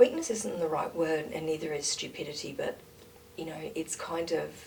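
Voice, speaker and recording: Over noticeable background noise, a woman with an Australian accent and a very deep, low pitch speaks at a moderate pace with ordinary pitch variation. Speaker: interview guest, mother working in a nursery. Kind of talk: casual conversation. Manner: loud, outspoken.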